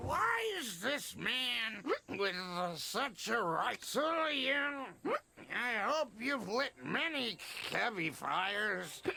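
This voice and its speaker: A man performs a put-on character voice at an extremely high pitch. He talks at a very slow pace with lively intonation. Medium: video game. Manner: gruff, knowing.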